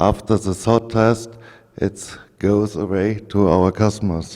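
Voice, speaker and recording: A man's dark, mellow tone with fairly even intonation. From Germany. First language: German. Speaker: engineer presenting at an industry conference. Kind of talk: technical presentation. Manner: halting, with frequent fillers.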